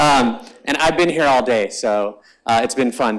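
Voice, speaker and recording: A man talks at a medium pitch. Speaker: startup founder and conference speaker. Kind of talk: talk to a live audience. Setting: event stage with audience. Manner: fast; casual with fillers.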